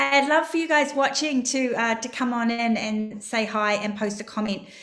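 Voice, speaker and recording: At a moderate pace, a woman with a New Zealand accent speaks in a high pitch with ordinary pitch variation. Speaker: crypto trading educator. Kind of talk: live stream market analysis. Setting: live stream.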